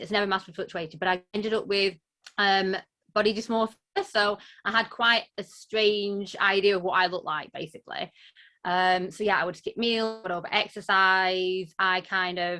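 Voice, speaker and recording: With a strong Lancashire accent, a woman speaks at a moderate pace in a medium pitch. Her tone is bright and sharp, and her intonation is monotone and flat. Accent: broad Lancashire, strong. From northern England, Lancashire. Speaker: body image coach. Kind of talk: interview, personal story.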